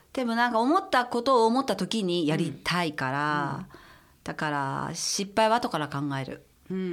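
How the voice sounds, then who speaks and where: A woman with a medium pitch speaks at a moderate pace, her pitch swinging very widely. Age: 50s. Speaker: stylist. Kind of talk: casual chat.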